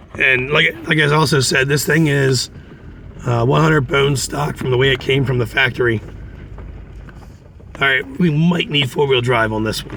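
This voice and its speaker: At a moderate pace with long, frequent pauses, a man speaks in a relaxed tone at medium pitch with ordinary pitch variation, over noticeable background noise. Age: 40s. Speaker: off-road driving vlogger. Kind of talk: casual trail narration. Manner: relaxed, conversational with fillers.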